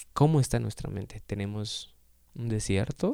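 A man talks at a fairly slow pace. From Guatemala. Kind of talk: devotional reflection. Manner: halting, frequent repetitions.

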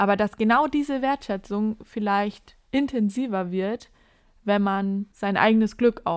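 A plain, everyday voice is heard. It moves at a moderate pace. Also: woman. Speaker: podcast host. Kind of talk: casual chat.

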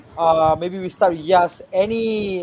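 Over noticeable background noise, a man speaks at a fairly slow pace. His pitch varies in an ordinary way. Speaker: podcast co-host. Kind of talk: casual chat.

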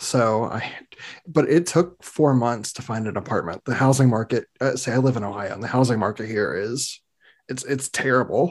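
An unremarkable speaking voice from a man, medium-pitched and moderately paced, with ordinary pitch variation. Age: 30s. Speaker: podcast host. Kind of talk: casual chat. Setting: video call.

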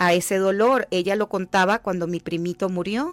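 A woman speaks at a moderate pace and medium pitch in a plain, everyday voice. The recording is very clean with a silent background, dry and close with no echo. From Venezuela, Llanos region. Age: 50s. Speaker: life coach and author. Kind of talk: radio interview. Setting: radio studio.

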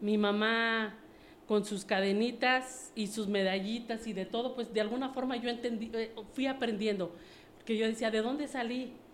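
A fairly high-pitched woman's voice, fairly even in intonation, with audible room echo. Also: moderate pace. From Mexico City. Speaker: network marketing distributor. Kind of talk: interview.

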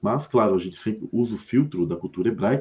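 This man talks at a very fast pace with a fairly low pitch, a dark, mellow tone, and ordinary pitch variation. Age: 40s. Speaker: religious YouTuber. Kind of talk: religious discussion livestream. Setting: live stream.

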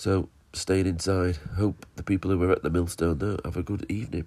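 With a fairly low pitch and a dark, mellow tone, a man speaks at a moderate pace on a very clean recording with a silent background. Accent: northern English. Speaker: podcast host. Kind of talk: casual chat.

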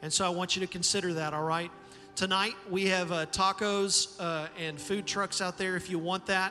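This man's voice is raised and projected, with a high pitch and flat, monotone intonation. He talks at a moderate pace over noticeable background noise. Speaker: pastor. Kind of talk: church service introduction and prayer. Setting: church with live audience.

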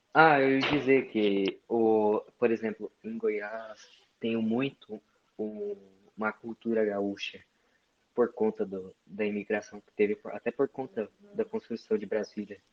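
A man talks at a very slow pace with big swings in loudness. His medium-pitched voice keeps a fairly even intonation. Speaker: live stream participant. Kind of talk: casual chat. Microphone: voice too quiet.

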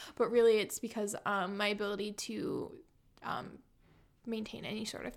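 A woman with a Californian accent, fairly high in pitch, with vocal fry at a moderate pace. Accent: General American (Californian). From San Diego, California. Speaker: bookstore worker. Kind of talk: casual interview.

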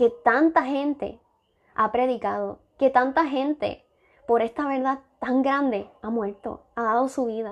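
Against a quiet background, a high-pitched woman speaks very slowly with fairly even intonation. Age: 20s. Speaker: church deaconess preacher. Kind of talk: sermon. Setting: live stream.

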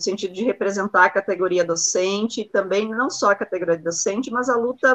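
A woman's plain, everyday voice at medium pitch and a fairly quick pace, with ordinary pitch variation and a dry, close sound with no echo. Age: 30s. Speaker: university professor and union official hosting the show. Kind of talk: interview.

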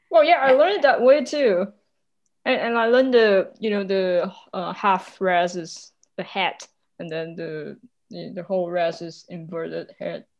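A woman with a non-native accent speaks at a fairly slow pace, with big swings in loudness. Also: medium pitch for a woman, lively intonation. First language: non-native English speaker. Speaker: podcast host. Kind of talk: casual chat.

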